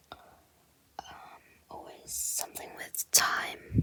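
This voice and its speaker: Very slow whispering comes through noticeable background noise. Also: woman. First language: Japanese. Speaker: ASMR content creator. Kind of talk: ASMR-style whispered talk about movie flyers. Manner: soft, whispered, hesitant, with filler words.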